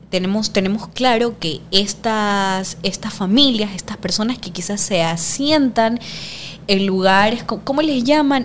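A woman in a coastal Ecuadorian accent, at a fairly slow pace. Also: medium pitch for a woman, ordinary pitch variation. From Ecuador, Guayaquil. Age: 20s. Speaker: sociology student and political activist. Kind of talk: casual interview conversation.

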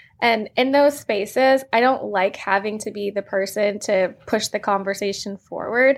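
With an American accent, a woman talks in an ordinary speaking voice at medium pitch, keeping a moderate pace, fairly even intonation and hardly any pauses. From Virginia, US. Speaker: attorney, author, card game co-founder. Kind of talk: interview chat.

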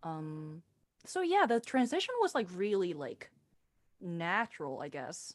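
A woman with a Korean accent speaks at a fairly slow pace and medium pitch. Her pitch swings are very wide and her loudness shifts a lot. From South Korea. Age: 20s. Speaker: singer-songwriter and theater director. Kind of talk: interview.

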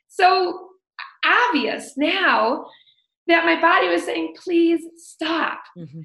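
Projecting her voice with big swings in loudness, a woman speaks at a very slow pace in a high, bright, sharp voice with lively intonation. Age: 40s. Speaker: health coach. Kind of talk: interview.

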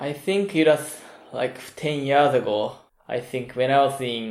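A man's medium-pitched voice with ordinary pitch variation at a fairly slow pace. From Japan, Kyoto. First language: Japanese. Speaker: film podcast guest. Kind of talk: casual chat.

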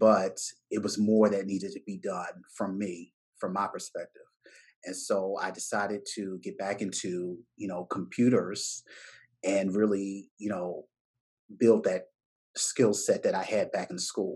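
Someone talks at a fairly slow pace in a Baltimore accent. The background is quiet. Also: man. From Baltimore, US. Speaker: business owner, tech entrepreneur. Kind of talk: casual interview conversation.

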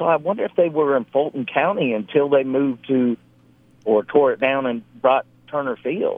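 Here a man uses an unremarkable speaking voice, fairly high in pitch, with ordinary pitch variation at a moderate pace. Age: 50s. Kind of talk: casual chat.

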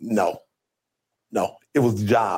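A man speaks with an American accent at medium pitch. His tone is dark and mellow, and his intonation fairly even. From Toledo, Ohio. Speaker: deputy sheriff and school resource officer. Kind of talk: interview conversation.

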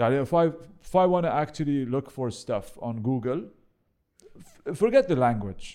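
A man with an Arabic accent speaks at a moderate pace in a fairly high pitch, with a dark, mellow tone, lively intonation and long, frequent pauses. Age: 40s. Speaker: real estate professional. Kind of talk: casual chat. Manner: halting, many repetitions.

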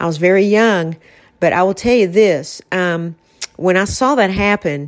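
This woman has a normal speaking voice, pitched fairly low, with ordinary pitch variation at a fairly slow pace. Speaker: podcast host and author. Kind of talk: casual conversational podcast chat.

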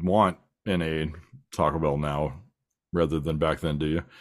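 A man with an American accent. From US West Coast (San Diego County, California). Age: 40s. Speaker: podcast host. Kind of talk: casual chat.

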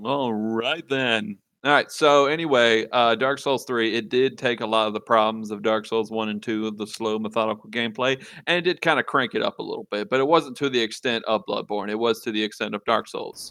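Against a quiet background, a man with a Louisiana accent talks at a fairly quick pace, his medium-pitched voice bright and sharp in tone. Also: ordinary pitch variation. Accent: Southern US (Louisiana). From Louisiana, rural south. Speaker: video game podcast guest. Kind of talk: casual chat.

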